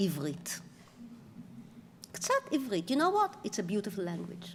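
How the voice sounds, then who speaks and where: Speaking with an Israeli accent, a woman swings her pitch very widely over noticeable background noise. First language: Hebrew. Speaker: author and professor. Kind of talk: lecture.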